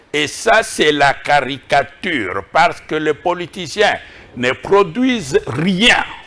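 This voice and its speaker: A man with a fairly high voice talks very slowly while his pitch swings very widely. Music plays in the background. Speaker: professor and think-tank director. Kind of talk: TV interview. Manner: deliberately slow.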